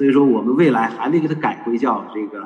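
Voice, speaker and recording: Here is a man with an ordinary speaking voice. He talks at a moderate pace and medium pitch. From northern China, Shanxi (Datong). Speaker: traditional culture educator. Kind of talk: online panel talk. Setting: video call.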